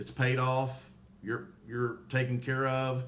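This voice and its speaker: A man with a Southern US accent, heard with audible room echo. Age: 50s. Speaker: former probate court clerk, funeral home promoter. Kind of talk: live-stream Q&A.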